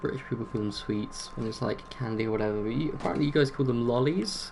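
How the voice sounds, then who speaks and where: A man with an English accent over noticeable background noise. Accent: generic non-regional English. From England. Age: 20s. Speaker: video game streamer. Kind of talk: casual chat.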